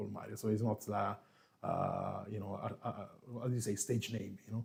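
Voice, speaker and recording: A man with an Italian accent speaks at a fairly quick pace and fairly low pitch, with vocal fry. His intonation is monotone and flat. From Italy, Marche region. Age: 40s. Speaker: coffee youtuber, former barista. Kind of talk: live stream chat. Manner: relaxed.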